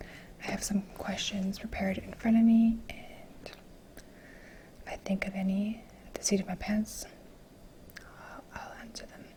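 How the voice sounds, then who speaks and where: Whispering amid noticeable background noise. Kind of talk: ASMR soft-spoken get-to-know-me talk to camera. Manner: soft-spoken.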